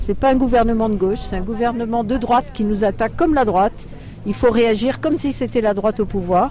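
A woman's fairly high voice with ordinary pitch variation, a fairly quick pace and noticeable background noise. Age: old. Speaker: retired activist protester. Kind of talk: street interview. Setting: outdoors at a street demonstration.

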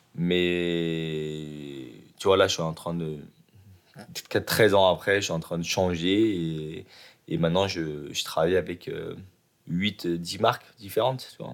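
Very slow and broken by long, frequent pauses, a man's very deep, low voice holds a fairly even intonation over a very clean recording with a silent background. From Lyon area, France. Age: 30s. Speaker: hair salon owner. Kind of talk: interview.

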